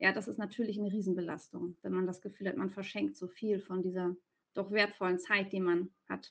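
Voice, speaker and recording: A woman is speaking. Her pace is moderate. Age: 40s. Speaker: commuting coach. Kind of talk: interview.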